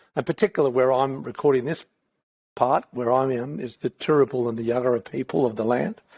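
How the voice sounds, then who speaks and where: On a very clean recording with a silent background and a dry, close sound with no echo, a man has an unremarkable speaking voice, medium in pitch, with ordinary pitch variation at a moderate pace. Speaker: podcast host. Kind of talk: podcast intro with land acknowledgement.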